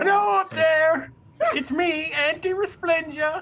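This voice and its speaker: In a put-on character voice, the speaker goes squeaky and high-pitched at a fairly slow pace. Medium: actual play. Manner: folksy, wheedling.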